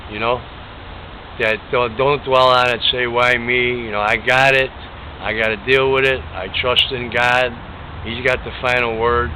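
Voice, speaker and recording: A man's medium-pitched voice at a fairly slow pace, flat and monotone, with long, frequent pauses and noticeable background noise. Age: 60s. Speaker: cancer patient interviewee. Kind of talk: interview.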